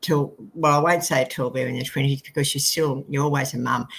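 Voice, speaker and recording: This woman has an Australian accent and a very deep, low pitch. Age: 70s. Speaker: book co-author. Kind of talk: interview conversation. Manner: halting.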